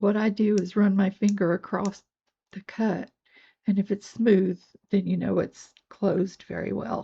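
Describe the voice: A woman puts on a character voice that is hoarse, raspy and croaky, at a medium pitch. Her intonation is monotone and flat, and her pace is moderate.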